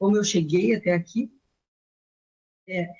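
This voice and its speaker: The woman's voice is somewhat breathy. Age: 60s. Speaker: retired civil servant and nutritionist. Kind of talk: interview testimony. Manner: halting, with many fillers.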